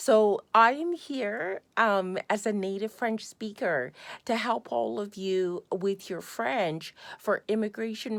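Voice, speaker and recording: A woman with a Canadian accent speaks at a very slow pace, her pitch medium and her intonation lively. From Canada. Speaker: language tutor. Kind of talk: sales pitch. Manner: halting.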